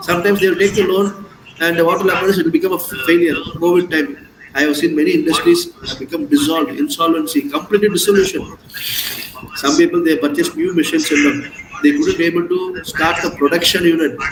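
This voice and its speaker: A high-pitched man at a very fast pace, with lively intonation over noticeable background noise. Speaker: CA exam coaching teacher. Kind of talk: online lecture.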